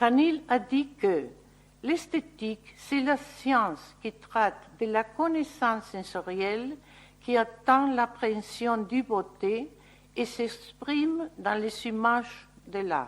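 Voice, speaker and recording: Speaking very slowly, a woman uses a fairly high pitch and lively intonation. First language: Spanish (speaking French). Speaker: landscape architect. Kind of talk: lecture. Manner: halting.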